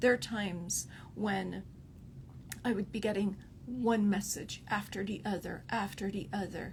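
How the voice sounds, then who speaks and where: A woman's voice with vocal fry and ordinary pitch variation. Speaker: relationship coach. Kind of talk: live stream talk. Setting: livestream. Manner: softening tone; halting with fillers.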